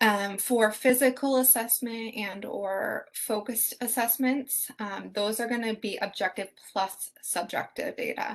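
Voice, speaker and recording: A woman's ordinary speaking voice, fairly high in pitch, at a fairly slow pace with hardly any pauses and fairly even intonation. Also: quiet background. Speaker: nursing student teaching assistant. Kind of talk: exam review session.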